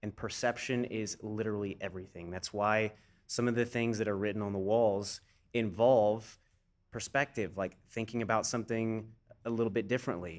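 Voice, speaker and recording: An unremarkable speaking voice from a man, fairly low in pitch, at a moderate pace with fairly even intonation, on a very clean recording against a silent background. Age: 30s. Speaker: fitness director and personal trainer. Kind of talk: casual interview conversation.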